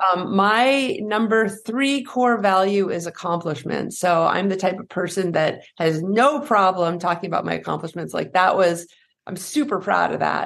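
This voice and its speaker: A woman with an American accent speaks in a plain, everyday voice at medium pitch and a moderate pace. She hardly pauses, and the background is quiet. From US Northeast, New Hampshire. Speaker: fear and anxiety coach, former pro skier. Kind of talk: interview conversation.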